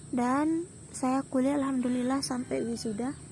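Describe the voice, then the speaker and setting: A high-pitched woman with fairly even intonation, over noticeable background noise. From Lombok, Indonesia. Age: 20s. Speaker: vlogger and shop worker. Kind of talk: casual vlog chat. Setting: outdoors near rice fields.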